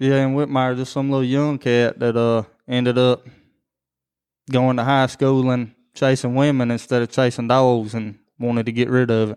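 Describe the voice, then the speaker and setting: A man with a rural Southern US accent talks at a medium pitch in a flat monotone against a quiet background. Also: moderate pace. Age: 30s. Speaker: podcast co-host, hunter. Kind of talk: casual chat.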